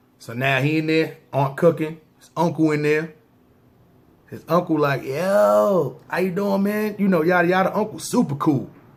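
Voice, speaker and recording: Speaking at a moderate pace with an American accent, a man uses a fairly high pitch, lively intonation and big swings in loudness. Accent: New York with slight country touch. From New York, Brooklyn. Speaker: storyteller, former gang member. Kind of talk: storytelling monologue. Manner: casual street slang.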